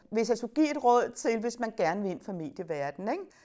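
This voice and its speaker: On a very clean recording with a silent background, a woman talks at a fairly high pitch with very wide pitch swings. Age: 60s. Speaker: media studies teacher. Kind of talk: interview. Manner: hesitant fillers.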